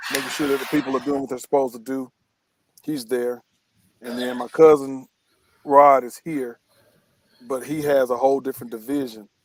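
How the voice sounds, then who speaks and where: A man in an American accent talks at a fairly quick pace and a medium pitch, with long, frequent pauses. His intonation stays monotone and flat while his loudness swings widely. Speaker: cigar company co-owner. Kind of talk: interview. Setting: studio.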